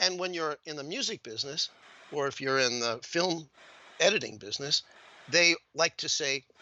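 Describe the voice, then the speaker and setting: A man speaks at a moderate pace. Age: 60s. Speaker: satirical illustrator and caricaturist. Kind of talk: casual interview conversation. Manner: animated.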